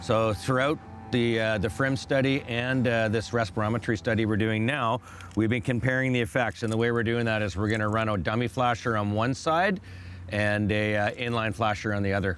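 Over music in the background, a man speaks at a fairly quick pace with very even loudness, ordinary pitch variation and a dry sound with no echo. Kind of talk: interview answer. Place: boat.

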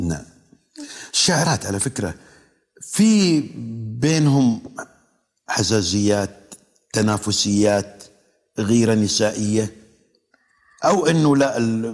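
A man's medium-pitched, lively voice at a very slow pace, with long, frequent pauses and a quiet background. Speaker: TV poetry show host. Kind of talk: TV talk show interview. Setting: studio with audience. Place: studio. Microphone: lapel.

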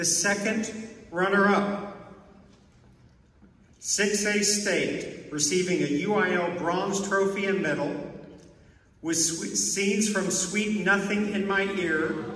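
In a room with strong echo, a man speaks slowly at a high pitch, his tone fairly bright and his intonation fairly even.

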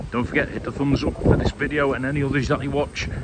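Loud background noise surrounds a man whose voice is dry, with no echo. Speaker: travel vlogger. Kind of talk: casual vlog chat. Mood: cheerful, upbeat. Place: waterside. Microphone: lapel.

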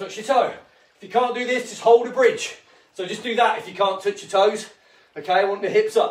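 A high-pitched man at a fairly quick pace, with audible room echo. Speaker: fitness instructor. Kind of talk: workout instruction. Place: home room. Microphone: camera far.

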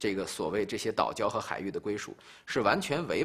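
A man talks at a fairly quick pace. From China. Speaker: policy expert. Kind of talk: interview. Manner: formal. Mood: firm, formal, measured. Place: studio.

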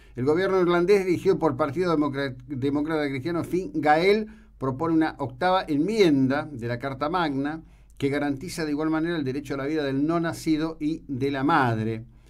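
A man's speech moves at a moderate pace, his pitch varying in an ordinary way, over a quiet background. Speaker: radio host. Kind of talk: radio news commentary and interview question. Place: studio. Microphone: studio mic.

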